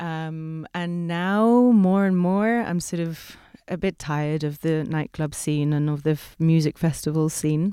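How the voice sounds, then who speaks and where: A woman with a very deep, low pitch and a dark, mellow tone speaks at a very slow pace with ordinary pitch variation in a very clean recording with a silent background. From Ibiza, Spain. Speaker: costume designer and performer. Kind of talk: casual chat.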